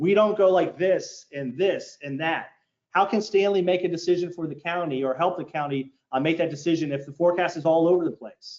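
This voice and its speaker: A man speaks at a fairly quick pace in a high pitch with an American accent. His pitch varies in an ordinary way. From Maryland, US (Baltimore). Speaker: meteorologist. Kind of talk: public presentation. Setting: community forum with audience. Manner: fast.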